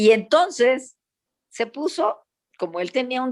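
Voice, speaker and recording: The voice belongs to a woman. She sounds animated. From Panama. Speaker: psychologist. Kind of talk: panel discussion.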